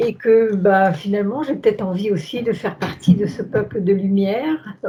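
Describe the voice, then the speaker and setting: At a very slow pace, a woman speaks with a medium pitch, ordinary pitch variation and a dark, mellow, somewhat breathy tone. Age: 70s. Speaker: hypnosis session client. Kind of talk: interview about personal life. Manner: hesitant, many fillers.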